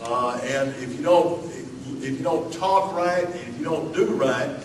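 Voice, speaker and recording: A fairly high-pitched man's voice in an American accent, very slow in pace, with audible room echo and noticeable background noise. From Alabama. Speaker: pastor. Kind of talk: sermon. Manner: informal, many fillers and repetitions.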